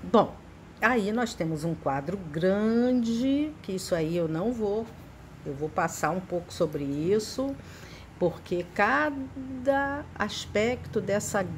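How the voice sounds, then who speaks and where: Somewhat breathy, a woman speaks at a very slow pace with very wide pitch swings and audible room echo. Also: medium pitch for a woman. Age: 60s. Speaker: psychotherapist teaching a spiritist study. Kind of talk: lecture.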